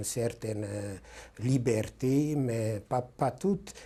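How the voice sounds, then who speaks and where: Somewhat breathy, the male voice carries a dark, mellow tone. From Carpathian Ruthenia (then Czechoslovakia, later Hungary). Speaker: Holocaust survivor. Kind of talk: testimony interview. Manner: hesitant, many fillers.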